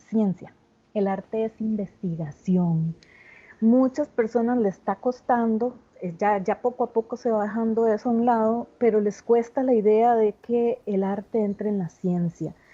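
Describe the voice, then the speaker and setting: A woman with a dark, mellow tone and a fairly high pitch speaks at a fairly slow pace with lively intonation, the sound dry and close with no echo. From Costa Rica. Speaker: theatre artist and education researcher. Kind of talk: video conference talk. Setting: video call.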